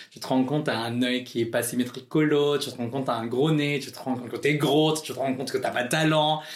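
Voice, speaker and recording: Monotone and flat at a medium pitch, a man rushes at a very fast pace with hardly any pauses and big swings in loudness, with audible room echo. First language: not French (speaking French). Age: 20s. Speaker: drag queen. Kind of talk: interview.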